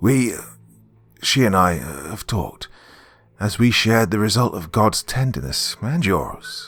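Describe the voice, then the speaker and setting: A man puts on a husky character voice at a medium pitch, with lively intonation and faint music behind him. He moves at a moderate pace, broken by long, frequent pauses. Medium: read story. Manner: halting, archaic, pious.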